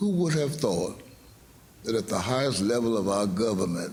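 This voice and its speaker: With audible room echo, a man in an American accent speaks at a fairly low pitch with ordinary pitch variation. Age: 80s+. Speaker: pastor. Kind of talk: prepared statement. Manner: formal.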